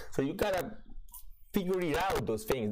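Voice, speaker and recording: Amid audible room echo and noticeable background noise, a man with an Italian accent speaks with very wide pitch swings. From Italy. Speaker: crypto trading streamer. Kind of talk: livestream market commentary. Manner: hesitant, many fillers.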